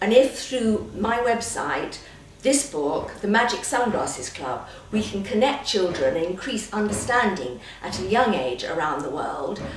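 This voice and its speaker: A woman with a British accent and a fairly high pitch speaks fairly slowly with very wide pitch swings, amid audible room echo and noticeable background noise. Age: 60s. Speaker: children's book author. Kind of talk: interview.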